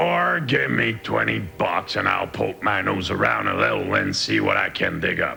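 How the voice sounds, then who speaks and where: A man uses a raspy, cartoonish character voice at a moderate pace. His loudness stays very even over clear background noise. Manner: gruff, hustling.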